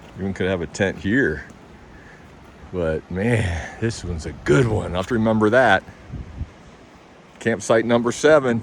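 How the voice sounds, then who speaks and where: With ordinary pitch variation and a fairly low pitch, a man talks at a moderate pace as noticeable background noise goes on. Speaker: camping vlogger. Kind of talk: walking tour vlog. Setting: outdoors. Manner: casual, enthusiastic.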